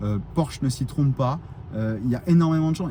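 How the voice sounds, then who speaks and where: Speaking at a fairly quick pace, the man has a fairly high pitch. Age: 40s. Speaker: electric car YouTuber. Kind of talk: casual vlog monologue. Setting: outdoors in parking lot at charger. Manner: animated, hesitant with many fillers.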